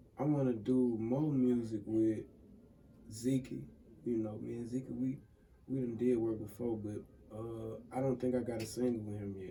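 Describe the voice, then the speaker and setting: A man speaks at medium pitch in a Mississippi accent, monotone and flat, at a moderate pace. Long, frequent pauses break up his speech, and room echo is audible. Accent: Southern US, Mississippi. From US South. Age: 20s. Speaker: music producer and engineer. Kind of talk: casual interview. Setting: studio.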